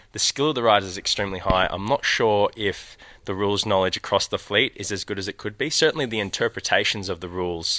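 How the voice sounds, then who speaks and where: Someone speaks very fast in an Australian accent, with ordinary pitch variation and a bright, sharp tone. The sound is dry and close with no echo, over a quiet background. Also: man. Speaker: sailing coach. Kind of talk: interview. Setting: outdoors at a sailing event, live stream.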